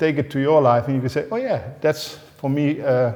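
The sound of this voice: A man's voice, medium in pitch, with a dark, mellow tone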